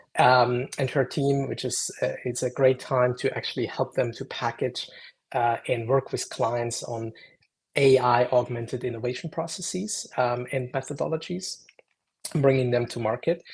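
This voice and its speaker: With a German accent, a man talks at a moderate pace in a medium pitch, his voice somewhat breathy and his intonation fairly even against a quiet background. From Germany, Munich. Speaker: AI consultant and lecturer. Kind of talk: interview. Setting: live stream video call.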